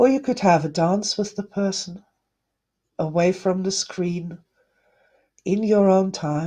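A soft-spoken woman talks at a fairly slow pace with long, frequent pauses and ordinary pitch variation, her voice somewhat breathy. Her tone is dark, mellow, warm and gentle, set against a quiet background. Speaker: energy healing teacher. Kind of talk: guided meditation. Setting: live online broadcast to viewers. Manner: soft, gentle, soothing and slow-paced; warm, loving, reassuring. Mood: warm, gentle, soothing. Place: home room. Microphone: webcam.

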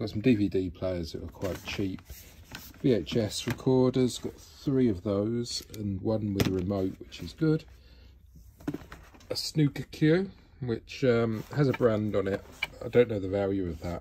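The speech moves at a fairly slow pace with long, frequent pauses. Light background noise is present. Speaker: reseller showing auction purchases. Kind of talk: casual vlog chat. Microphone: phone near.

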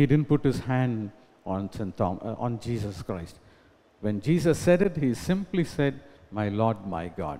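With a dark, mellow tone, a man talks at a fairly slow pace, his pitch swinging very widely. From India. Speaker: pastor. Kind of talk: sermon. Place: church. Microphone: podium.

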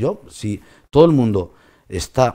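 A man's dark, mellow tone with very wide pitch swings against a quiet background. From Spain. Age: 50s. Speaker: trucking company owner. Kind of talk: interview. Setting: studio. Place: studio.

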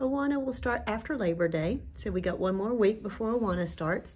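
With lively intonation, a woman speaks in a somewhat breathy voice. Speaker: church announcer. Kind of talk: church announcements. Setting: church. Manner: casual, halting. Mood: warm, friendly. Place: home room. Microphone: studio mic.

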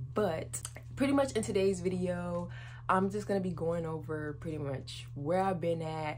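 A woman talks at a moderate pace with light background noise behind her. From North Carolina, US. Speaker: YouTuber. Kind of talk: casual vlog to camera. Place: home room. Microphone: phone near.

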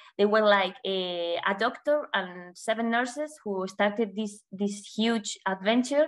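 A woman with a Spanish accent, bright, sharp tone, ordinary pitch variation and fairly slow pace over a quiet background. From Spain. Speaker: communications officer, former journalist. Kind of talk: presentation. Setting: video call. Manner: halting. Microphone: video call.

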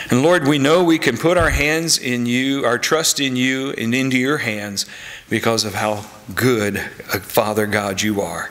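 The man talks fairly slowly. Ordinary pitch variation runs through his speech. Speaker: pastor. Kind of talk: prayer. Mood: calm, reverent. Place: church.

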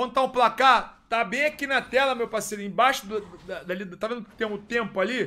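In a raised, projected voice, a man talks with an animated, bright, sharp tone. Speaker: esports caster and streamer. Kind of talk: live commentary. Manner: stammering.

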